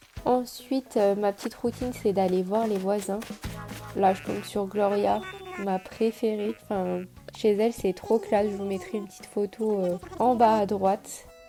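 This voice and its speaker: With music in the background, the voice moves at a fairly slow pace with fairly even intonation. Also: woman, medium pitch for a woman. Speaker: YouTuber. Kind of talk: gameplay commentary. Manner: casual.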